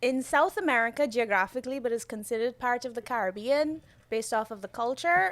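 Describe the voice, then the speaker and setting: Very fast speech comes from a woman with a Guyanese accent. Her pitch is high, and it varies in an ordinary way. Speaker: podcast guest, architect and designer. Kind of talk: casual chat.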